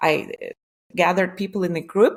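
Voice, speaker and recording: With a Lithuanian accent, a woman speaks with vocal fry and fairly even intonation. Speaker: entrepreneur. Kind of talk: interview. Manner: halting.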